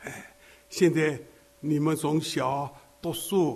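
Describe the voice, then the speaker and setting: Amid audible room echo and noticeable background noise, a man with a fairly high pitch talks at a very slow pace. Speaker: elderly preacher. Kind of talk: sermon.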